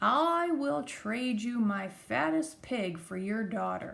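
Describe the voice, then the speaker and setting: Using a put-on character voice, a woman speaks at a medium pitch and a fairly slow pace. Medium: read story.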